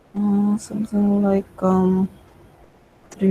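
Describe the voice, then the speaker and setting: A woman of medium pitch, somewhat breathy, with a dark, mellow tone, monotone, flat intonation, and a very slow pace. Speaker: data science instructor. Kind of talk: online tutorial.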